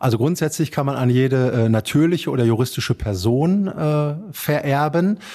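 A man talks at a fairly high pitch with a dark, mellow tone and ordinary pitch variation. His pace is moderate, with hardly any pauses and very even loudness. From Germany, Dortmund (Ruhr area). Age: 40s. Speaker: estate executor and bank advisor. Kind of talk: interview.

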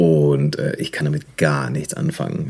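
A man talks very slowly, with noticeable noise behind him. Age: 30s. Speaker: photographer. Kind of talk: casual chat. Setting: video call.

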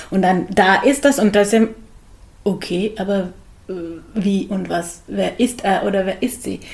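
A woman with a slight Hungarian accent talks at a fairly slow pace, with long, frequent pauses and vocal fry. Her pitch is medium and her intonation fairly even. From Hungary, Budapest. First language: Hungarian (speaking German). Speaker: psychologist and yoga teacher. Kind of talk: interview. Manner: hesitant with fillers.

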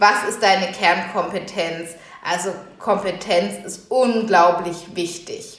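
Amid noticeable background noise and audible room echo, a woman talks at a very slow pace in a medium pitch with fairly even intonation. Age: 30s. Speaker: podcast host and workshop trainer. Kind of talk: solo podcast monologue.

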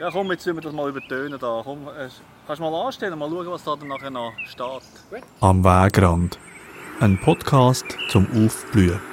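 Over noticeable background noise, a man speaks at a moderate pace with very wide pitch swings and long, frequent pauses. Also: big swings in loudness. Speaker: podcast host and producer. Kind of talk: casual chat. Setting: outdoors in a garden.

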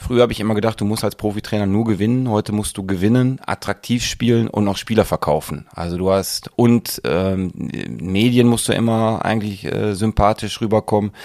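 A man with a fairly low pitch speaks at a moderate pace in a plain, everyday voice. The sound is dry and close, with no echo. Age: 40s. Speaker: football coach. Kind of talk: interview.

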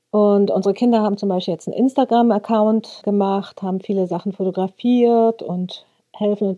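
In a dry, close recording with no echo, a woman with a dark, mellow tone speaks at a moderate pace with fairly even intonation. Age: 50s. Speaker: craft goods trader. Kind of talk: interview.

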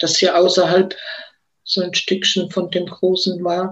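This woman's voice lies at a medium pitch. She talks fairly slowly. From Heidelberg, Germany. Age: 70s. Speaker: civil rights activist. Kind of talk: interview testimony. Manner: halting.

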